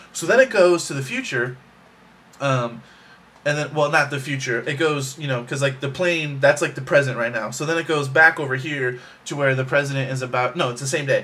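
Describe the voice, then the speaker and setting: Bright and sharp in tone, a man talks at a fairly quick pace and a fairly high pitch with fairly even intonation. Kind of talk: casual talk to camera. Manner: fast.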